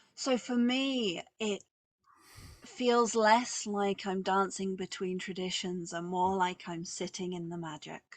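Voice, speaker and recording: A woman speaks very slowly in a southeast English accent at a medium pitch. Her pitch varies in an ordinary way while her loudness swings widely. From southeast England. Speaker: witch and author. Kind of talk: interview.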